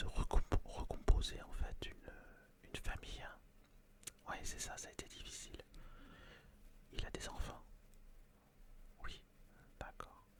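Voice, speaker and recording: A man whispers in a calm, gentle tone at a very slow pace, with long, frequent pauses. His loudness swings widely against noticeable background noise. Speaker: ASMR roleplay performer playing a fortune-teller tarot reader. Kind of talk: ASMR roleplay, tarot reading consultation with a client. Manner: calm, gentle, conversational.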